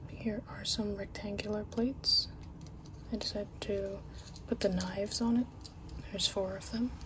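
Someone soft-spoken whispers at a moderate pace. Noticeable background noise is present. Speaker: toy reviewer. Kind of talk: unboxing narration. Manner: soft ASMR whisper. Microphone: phone near.

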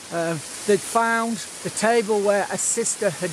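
A man in a dry sound with no echo, over noticeable background noise. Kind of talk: casual vlog chat. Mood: critical, indignant. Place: waterside. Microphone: phone near.

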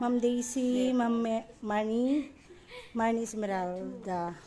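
A woman at a very slow pace with fairly even intonation and light background noise. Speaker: live streamer greeting viewers. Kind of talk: casual live stream chat. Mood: warm, grateful sign-off. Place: home room. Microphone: phone near.

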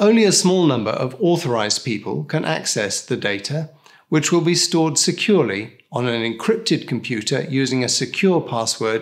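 A man talks at a moderate pace with very wide pitch swings. The background is quiet. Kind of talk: scripted explainer. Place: studio.

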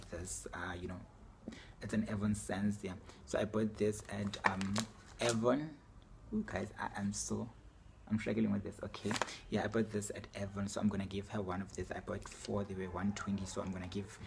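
Against noticeable background noise, a man with a fairly low pitch and fairly even intonation talks at a moderate pace, leaving long, frequent pauses. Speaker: vlogger. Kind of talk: casual vlog chat. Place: home room. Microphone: phone near.

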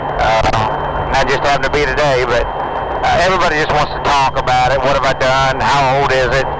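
A man with an American accent talks at a fairly quick pace. His loudness stays very even over loud background noise. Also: hardly any pauses, dry sound with no echo. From Missouri, by way of Arkansas and Texas. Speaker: cattle-hauling truck driver. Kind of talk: casual interview over CB radio. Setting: in a truck cab, over CB radio. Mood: relaxed, easygoing. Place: car.

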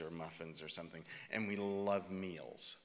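This man's voice has a bright, sharp tone. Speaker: minister preaching. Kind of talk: sermon. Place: church. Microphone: podium.

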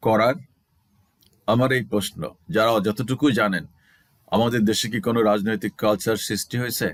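Recorded very clean against a silent background, a man with an unremarkable speaking voice talks at a medium pitch with ordinary pitch variation. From Bangladesh, Rajshahi. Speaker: religious commentary YouTuber. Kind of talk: Quran commentary monologue.

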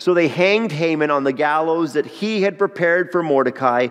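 A man's speech moves at a fairly quick pace, its pitch varying in an ordinary way. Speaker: pastor. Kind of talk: sermon. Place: church. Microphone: headset.

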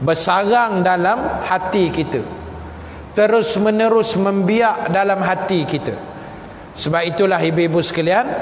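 A man with a high pitch talks at a fairly slow pace and very even loudness. Audible room echo and light background noise are present. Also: ordinary pitch variation. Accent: Malaysian. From Malaysia. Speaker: Islamic teacher. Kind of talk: religious lecture. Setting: live lecture to women audience with microphone. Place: hall. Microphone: lapel.

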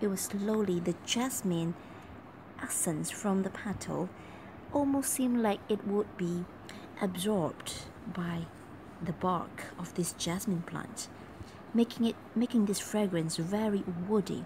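Over noticeable background noise, a woman speaks at a fairly slow pace with long, frequent pauses and ordinary pitch variation. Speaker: perfume reviewer. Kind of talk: casual talk to camera. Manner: whispered. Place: home room. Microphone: phone near.

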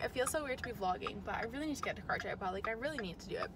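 A woman speaks in a bright, sharp tone with lively intonation. Faint background noise sits behind her.

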